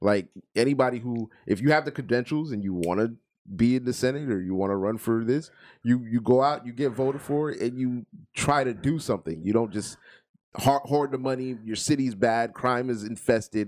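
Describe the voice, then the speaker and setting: With an American accent, a man speaks in a normal speaking voice at medium pitch, with ordinary pitch variation and a moderate pace. The recording is very clean, with a silent background. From Florida, US. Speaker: podcast co-host. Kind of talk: casual banter, crude comedy chat.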